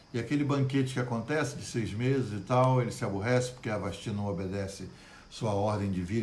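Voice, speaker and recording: A man talks at a moderate pace in a medium pitch with ordinary pitch variation. His somewhat breathy voice carries audible room echo. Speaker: pastor. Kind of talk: Bible study livestream. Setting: Facebook live stream. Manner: good-humored, animated.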